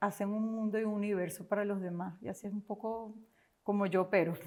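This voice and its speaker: With a Venezuelan accent, a woman speaks at a medium pitch and with fairly even intonation. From Venezuela, Caracas. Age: 50s. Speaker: entrepreneur. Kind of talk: interview.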